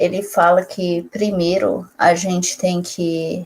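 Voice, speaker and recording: Very slowly, a woman speaks at a fairly low pitch with fairly even intonation. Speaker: youtuber. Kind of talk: casual chat.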